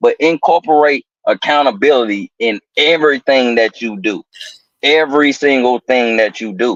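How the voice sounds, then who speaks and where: A man with an American accent and a plain, everyday voice, fairly high in pitch, at a moderate pace with ordinary pitch variation, in a dry, close sound with no echo. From US South, Atlanta, Georgia (College Park). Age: 30s. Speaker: podcast guest. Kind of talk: casual motivational talk.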